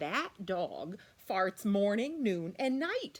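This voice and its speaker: In a put-on character voice, a woman speaks very slowly and gruffly at a medium pitch, her pitch swinging very widely. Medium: read story. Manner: gruff, loud.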